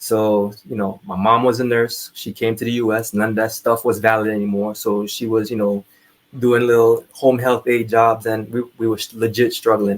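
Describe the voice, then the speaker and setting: A man with a Trinidadian accent at a moderate pace and medium pitch, in monotone, flat intonation. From Trinidad (Laventille). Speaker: army veteran. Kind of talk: interview storytelling.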